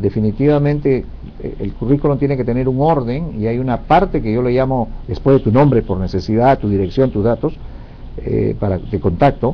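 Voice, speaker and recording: This man talks at a moderate pace with medium pitch, ordinary pitch variation, and a normal speaking voice. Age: 60s. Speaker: career advisor. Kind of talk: interview Q&A advice.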